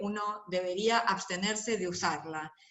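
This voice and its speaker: An ordinary speaking voice from a woman, medium in pitch, fairly slow, with ordinary pitch variation. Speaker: lecturer on intellectual property and health. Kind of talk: lecture.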